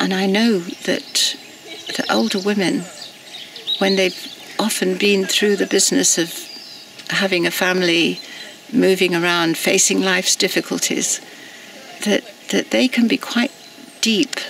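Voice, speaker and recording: Against noticeable background noise, a woman speaks at a fairly slow pace with very even loudness and long, frequent pauses. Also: medium pitch for a woman, ordinary pitch variation. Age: 70s. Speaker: activist. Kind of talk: personal reflection monologue. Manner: halting.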